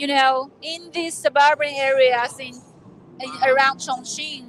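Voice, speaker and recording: Shouting at a very slow pace, a woman's high-pitched voice comes across dry and close, with no echo. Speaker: live event presenter. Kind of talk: live on-location tour presenting. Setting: trade fair exhibition hall. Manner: yelling over noise.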